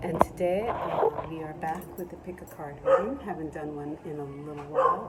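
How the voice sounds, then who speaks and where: A calm, relaxed tone in an American accent at a moderate pace, with noticeable background noise. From Caribbean American. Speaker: tarot and oracle card reader. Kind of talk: casual talk to camera. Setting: outdoors.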